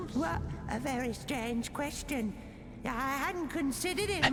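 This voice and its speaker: Over loud background noise, a female-sounding put-on character voice is pitched high for a woman. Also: moderate pace. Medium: game stream. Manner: fawning, hesitant.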